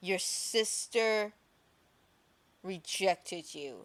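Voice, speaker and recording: On a very clean recording with a silent background, a female-sounding voice does a put-on character voice, growling at a medium pitch and a very slow pace. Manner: menacing, taunting.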